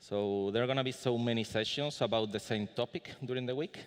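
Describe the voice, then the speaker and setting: A man speaks with a Spanish accent and ordinary pitch variation. The background is quiet. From Spain. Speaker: conference speaker. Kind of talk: conference talk. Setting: conference room with audience. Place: hall. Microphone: podium.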